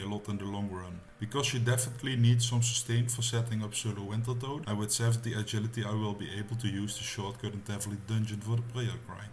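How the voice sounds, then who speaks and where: A very fast, flat, monotone male voice with a Dutch accent, fairly low and somewhat breathy, in audible room echo. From Netherlands. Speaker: gaming YouTuber. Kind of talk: gameplay tutorial narration. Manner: casual.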